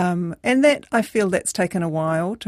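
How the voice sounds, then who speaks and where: A woman with a New Zealand accent and a fairly low pitch. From New Zealand, Christchurch. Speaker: community organiser. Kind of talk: radio interview. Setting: studio. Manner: hesitant, many fillers.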